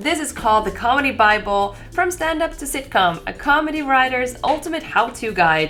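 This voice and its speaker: Hardly pausing, a woman with a Swedish accent speaks at a moderate pace and a fairly high pitch. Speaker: comedy magician and YouTuber. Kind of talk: casual video talk, book recommendations. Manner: animated.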